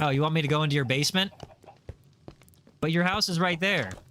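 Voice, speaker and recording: Speaking at a fairly quick pace in an American accent, a man with a fairly high pitch shows ordinary pitch variation. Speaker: gaming streamer. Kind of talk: casual chat. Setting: live stream. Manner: animated.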